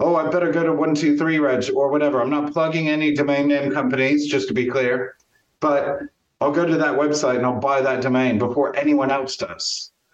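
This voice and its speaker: With an American accent and a plain, everyday voice, a man talks at a fairly quick pace and a fairly high pitch, with fairly even intonation and very even loudness. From US Midwest, Champaign-Urbana, Illinois. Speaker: marketing agency owner and networking coach. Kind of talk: casual interview.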